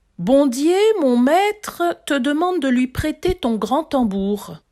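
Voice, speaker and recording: A woman puts on a character voice. It sits high in pitch and moves at a fairly slow pace. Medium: read story.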